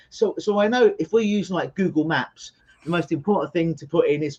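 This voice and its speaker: Moderate pace, in a London accent. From England (London). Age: 40s. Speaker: hypnotherapist. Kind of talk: interview.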